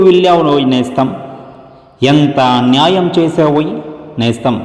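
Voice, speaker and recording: A man's fairly high-pitched voice comes with noticeable background noise behind it. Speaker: singer and dubbing artist. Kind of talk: poetry reading. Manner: mournful, emotional.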